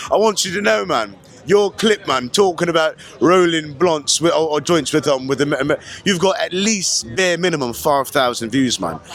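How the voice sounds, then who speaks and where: Over music in the background, a man talks at a moderate pace with lively intonation. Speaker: street interviewer. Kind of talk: casual street interview. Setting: outdoor festival.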